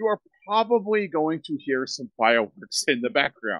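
With a bright, sharp tone and very wide pitch swings, a man talks at a moderate pace against a quiet background. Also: dry sound with no echo. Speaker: podcast host. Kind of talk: podcast intro announcement.

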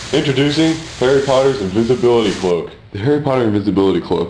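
The speech comes at a very fast pace with lively intonation. There is noticeable background noise. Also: man. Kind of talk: parody TV infomercial read.

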